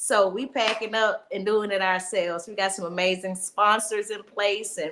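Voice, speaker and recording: Here a woman talks at a moderate pace. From Mississippi, US South. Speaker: stand-up comedian. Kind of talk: casual interview chat. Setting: live stream.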